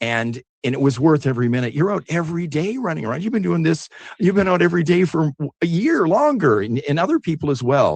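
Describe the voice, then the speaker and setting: Talking at a very fast pace, a man with a western Canadian accent has a fairly high pitch. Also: lively intonation. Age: 60s. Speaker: telethon host. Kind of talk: live telethon conversation. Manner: casual, halting with fillers.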